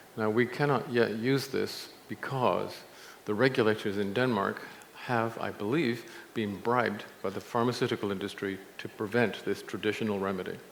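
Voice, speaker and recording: A man's medium-pitched voice at a fairly quick pace, broken by long, frequent pauses, with audible room echo. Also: fairly even intonation. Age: 70s. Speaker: nutrition scientist and speaker. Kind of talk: conference talk.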